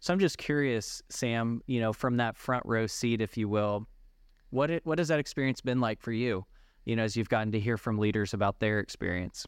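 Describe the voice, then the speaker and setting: In a quiet background, a man with a normal speaking voice talks at a fairly quick pace, with ordinary pitch variation and very even loudness. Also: medium pitch for a man. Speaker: podcast host. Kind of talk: interview.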